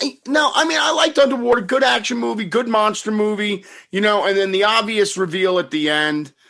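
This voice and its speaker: A man talks at a fairly quick pace in a raised, projected voice with hardly any pauses. His pitch is high, his tone bright and sharp, and his intonation lively. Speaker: podcast host. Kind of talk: casual podcast conversation.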